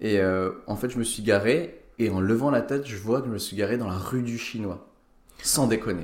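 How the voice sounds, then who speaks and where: Medium-pitched male voice with audible room echo. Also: ordinary pitch variation, moderate pace. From Lorraine, France (Nancy). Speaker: stand-up comedian and doctor. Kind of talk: casual chat. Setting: home recording.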